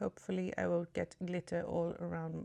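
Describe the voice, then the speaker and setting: A woman at a moderate pace. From Sweden. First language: Swedish. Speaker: beauty vlogger. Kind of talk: get ready with me tutorial. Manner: casual, hesitant.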